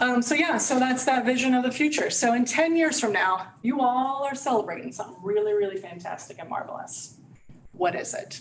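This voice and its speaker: Audible room echo and noticeable background noise surround a woman speaking at a fairly quick pace. Her pitch swings very widely. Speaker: community resource and training specialist. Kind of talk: presentation at a provider meeting. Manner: fast.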